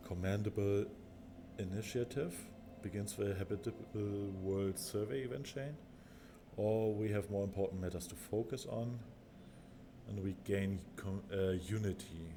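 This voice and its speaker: A man's fairly low voice with a German accent, at a moderate pace broken by long, frequent pauses. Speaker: gaming video creator. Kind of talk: gameplay commentary. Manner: halting.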